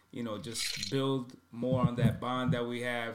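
Here a man speaks at a medium pitch. His pace is fairly slow. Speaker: podcast co-host and rapper. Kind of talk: casual chat. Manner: sometimes quiet.

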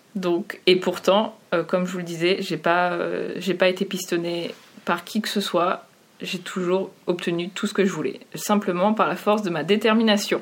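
A woman's medium-pitched voice, monotone and flat in intonation, at a fairly slow pace. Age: 30s. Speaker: UX designer. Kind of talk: interview.

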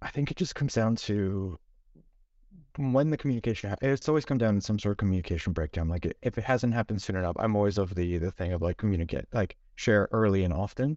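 In a Canadian accent, a man with a fairly low pitch talks at a very fast pace, his intonation lively. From Canada, Toronto. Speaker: UX designer. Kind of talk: panel discussion.

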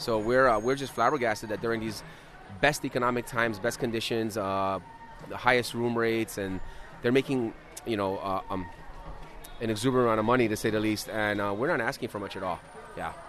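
This man has a medium pitch and fairly even intonation. He talks at a very fast pace. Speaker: hotel server. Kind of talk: interview. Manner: halting.

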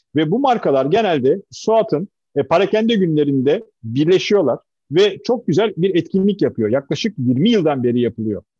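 A man's high voice with very wide pitch swings, very even loudness, a dark, mellow tone and a moderate pace, in a dry, close sound with no echo. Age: 50s. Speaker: company chairman. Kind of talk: interview.

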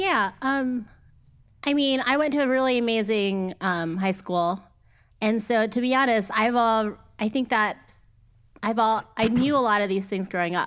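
With a Midwestern US accent, a woman talks at a moderate pace and fairly high pitch, with ordinary pitch variation, very even loudness and long, frequent pauses, in a very clean recording with a silent background. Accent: General American, Midwest. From US Midwest, Cleveland area. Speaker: podcast co-host. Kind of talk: casual chat. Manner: hesitant with many fillers.

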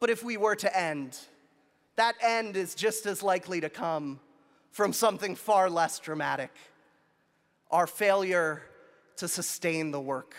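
On a very clean recording with a silent background, a man with a high pitch and ordinary pitch variation talks fairly slowly, with long, frequent pauses. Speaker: graduate student speaker. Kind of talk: earnest, rousing commencement speech building to a rallying call. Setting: outdoor stage with large audience. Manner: impassioned, rhythmic repetition with rising conviction; wry and humorous, pausing for laughs.

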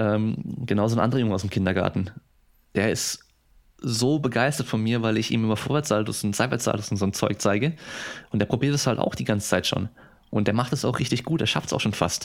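A man at a fairly quick pace, with long, frequent pauses, ordinary pitch variation and very even loudness, on a very clean recording with a silent background. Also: medium pitch for a man. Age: 30s. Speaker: sports scientist and athletic trainer. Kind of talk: casual interview.

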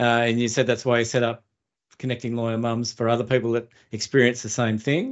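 A man speaks very fast with an Australian accent, his intonation flat and monotone. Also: medium pitch for a man. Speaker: podcast host and producer. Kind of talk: interview conversation. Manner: halting, repeats words.

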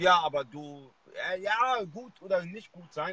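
A man's bright, sharp voice with ordinary pitch variation, in a dry, close recording with no echo. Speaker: e-commerce livestream host. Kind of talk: live video interview. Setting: live video stream at a university. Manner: hesitant, many filler sounds.

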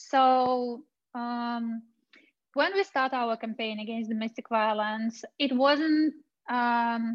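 A woman with a Russian accent speaks very slowly in a high voice. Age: 30s. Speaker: women's rights activist. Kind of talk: testimony and presentation. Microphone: connection dropped out, got muted.

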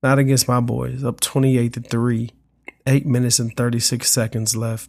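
At a moderate pace, a man speaks at a medium pitch in a monotone, flat intonation. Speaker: podcast host. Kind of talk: solo sports podcast monologue with callers. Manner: casual, conversational, filler words.

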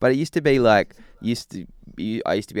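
Someone with an Australian accent speaks with ordinary pitch variation, the sound dry and close with no echo. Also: man. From Australia, Newcastle NSW. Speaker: musician in a worship band. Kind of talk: casual interview.

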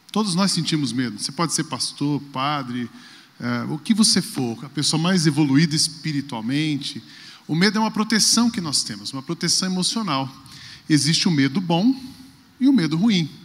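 Speaking at a moderate pace, a man with a plain, everyday voice uses a fairly high pitch and lively intonation. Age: 40s. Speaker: pastor. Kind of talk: talk on stage.

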